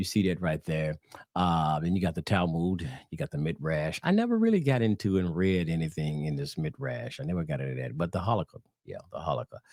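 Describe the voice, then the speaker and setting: In a Southern US accent, a man with a very deep, low pitch speaks at a fairly quick pace with ordinary pitch variation, the sound dry and close with no echo. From US South. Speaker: religious teacher. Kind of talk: religious teaching video. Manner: casual, halting with fillers.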